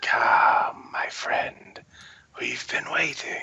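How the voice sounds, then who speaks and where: Raspy, whispering put-on character voice. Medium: actual play. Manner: polite, welcoming.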